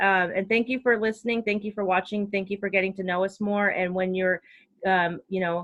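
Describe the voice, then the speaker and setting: Bright and sharp in tone, a woman's voice sits at a medium pitch. She talks at a fairly quick pace with ordinary pitch variation. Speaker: spiritual coach. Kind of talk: casual chat. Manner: fast; animated.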